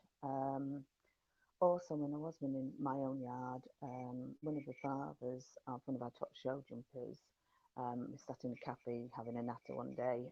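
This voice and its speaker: A woman speaks with an English accent at a very deep, low pitch and a dark, mellow tone. Her pace is moderate and her intonation fairly even. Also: dry, close sound with no echo. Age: 60s. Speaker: horsewoman and yard manager. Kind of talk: interview answer.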